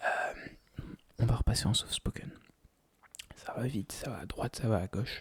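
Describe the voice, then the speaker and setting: A man whispers in a relaxed tone. His pace is fairly slow, with long, frequent pauses. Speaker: ASMR creator. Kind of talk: casual talk to camera, ASMR life chat. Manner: soft-spoken, relaxed.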